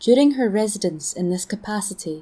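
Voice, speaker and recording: In a Scottish accent, a woman talks at a moderate pace. Her medium-pitched voice has a dark, mellow tone. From Scotland. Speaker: storyteller. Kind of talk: folklore story reading.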